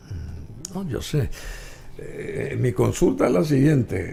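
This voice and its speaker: A man speaks with very wide swings in pitch, and audible echo fills the room. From Paraguay, Asunción. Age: 70s. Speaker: talk show host. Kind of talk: interview.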